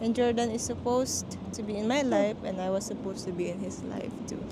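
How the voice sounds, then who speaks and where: Heard with audible room echo and noticeable background noise, a woman with a Filipino accent speaks in fairly even intonation. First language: Tagalog. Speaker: vlogger. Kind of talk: casual chat. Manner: code-switching Taglish.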